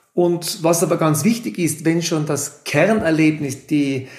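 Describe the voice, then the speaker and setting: In a Tyrolean accent, a man talks at a fairly slow pace. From Austria, Tyrol (Innsbruck area). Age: 40s. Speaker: ski lift company executive. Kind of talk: interview.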